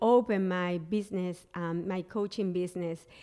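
Fairly even intonation marks this voice with a Spanish accent, heard on a very clean recording with a silent background. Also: woman. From Colombia, Barranquilla. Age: 40s. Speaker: business coach. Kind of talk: interview guest.

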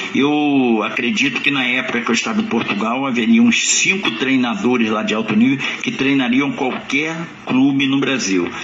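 The speech moves at a moderate pace with hardly any pauses, amid noticeable background noise and audible room echo. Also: man, medium pitch for a man, ordinary pitch variation. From Niterói, Rio de Janeiro, Brazil. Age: 70s. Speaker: former footballer and coach. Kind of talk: interview. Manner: halting.

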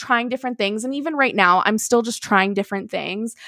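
Loud and animated, a woman speaks at a high pitch. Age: 20s. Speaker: podcaster, entertainment social media worker. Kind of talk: casual chat. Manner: animated, laughs often.

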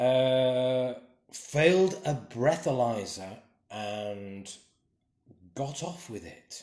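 The speech moves at a very slow pace with lively intonation. Long pauses come often. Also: man, medium pitch for a man. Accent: English. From England. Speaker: podcast co-host. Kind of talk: casual chat.

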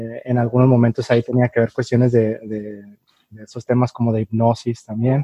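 A man talks at a moderate pace and medium pitch with a dark, mellow tone and monotone, flat intonation, in a dry, close sound with no echo. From Mexico, Tijuana. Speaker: podcast host. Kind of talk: casual chat. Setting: video call.

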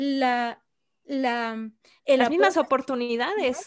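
A woman with a high-pitched voice talks at a fairly slow pace against a quiet background. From Puerto Rico. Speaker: archaeologist. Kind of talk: interview conversation.

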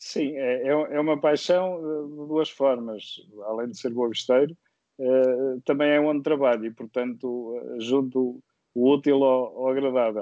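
A man of medium pitch at a fairly slow pace. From Viseu, central Portugal. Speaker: guest, sim racing driver. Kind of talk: casual interview. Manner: hesitant, repeats words.

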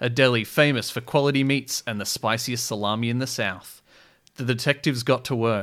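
Using a natural reading voice, the speaker keeps a fairly even intonation.

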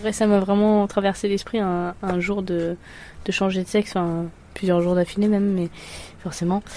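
A woman's dark, mellow voice at medium pitch, flat and monotone, at a moderate pace with long, frequent pauses. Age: 20s. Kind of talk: casual chat.

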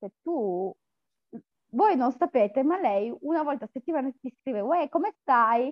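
Her voice is high, and her pitch swings very widely. This woman leaves long, frequent pauses. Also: moderate pace. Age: 30s. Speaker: coaching client, factory worker. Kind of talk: testimonial interview.

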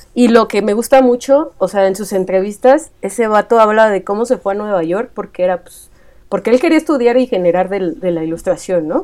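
A woman speaks with a central Mexican accent. Her loudness swings widely. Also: medium pitch for a woman, lively intonation, fairly quick pace. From Mexico, Estado de México. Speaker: illustrator. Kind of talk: casual chat.

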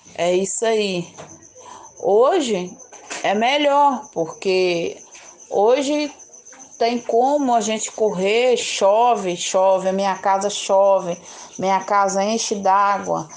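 A woman talks at a very slow pace with long, frequent pauses, at medium pitch with ordinary pitch variation. Noticeable background noise runs under her voice. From Minas Gerais, Brazil (Governador Valadares). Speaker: community resident, vegetable seller. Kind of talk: life story interview.

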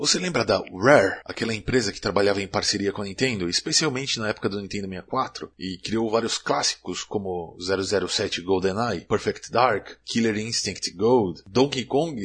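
A man speaks at a fairly slow pace in an ordinary speaking voice, with a fairly low pitch, ordinary pitch variation, hardly any pauses, and a quiet background. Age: 30s. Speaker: gaming video host. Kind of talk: scripted narration.

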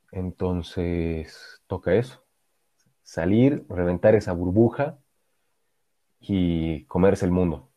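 A man's very deep, low voice, dark and mellow, at a very slow pace with long, frequent pauses. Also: ordinary pitch variation, very clean recording, silent background. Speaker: podcast co-host. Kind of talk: casual chat. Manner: halting, repeats words.

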